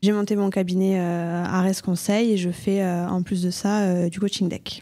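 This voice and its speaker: Flat, monotone speech from a woman at a medium pitch, dark and mellow in tone and fairly slow in pace, on a very clean recording with a silent background. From southern France, Toulouse. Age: 20s. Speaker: accountant and entrepreneur. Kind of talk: podcast interview. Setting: coworking space.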